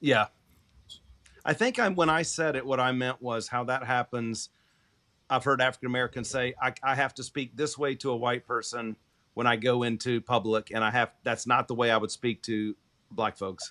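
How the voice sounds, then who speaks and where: On a very clean recording with a silent background, a man talks at a moderate pace. His medium pitch holds fairly even intonation. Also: dry, close sound with no echo. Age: 50s. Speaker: reverend and podcast co-host. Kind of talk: casual discussion. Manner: halting.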